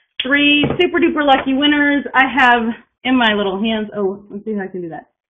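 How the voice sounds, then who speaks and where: Over noticeable background noise, a woman with an American accent speaks at a fairly quick pace. Her voice is high-pitched, with lively intonation and big swings in loudness. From Texas. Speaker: piano teacher. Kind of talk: webinar presentation. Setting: online webinar. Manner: fast; drops pitch at sentence ends. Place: home room. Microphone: webcam.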